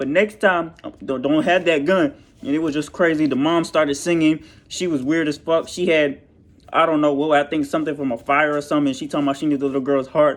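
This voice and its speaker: Against a quiet background, a man with fairly high pitch talks at a very fast pace. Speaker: YouTuber movie reviewer. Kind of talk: casual movie review vlog. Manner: animated.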